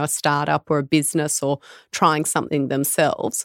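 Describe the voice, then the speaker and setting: Speaking fairly quickly with an Australian accent, a woman uses a very deep, low pitch in a dry, close recording with no echo, very clean with a silent background. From Australia, Tamworth NSW. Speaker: midwife and business founder. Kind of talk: interview.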